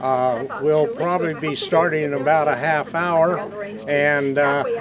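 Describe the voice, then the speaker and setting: A man with a Western US accent speaks very slowly in a fairly high pitch, his pitch varying in an ordinary way over noticeable background noise. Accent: American Western. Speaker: cowboy action shooter. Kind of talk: documentary interview answer.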